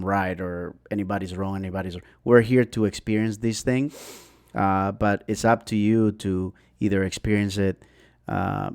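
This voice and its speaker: Fairly low-pitched male voice at a moderate pace with fairly even intonation, on a very clean recording with a silent background. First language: not English. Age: 40s. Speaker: podcast guest. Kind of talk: casual chat. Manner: halting.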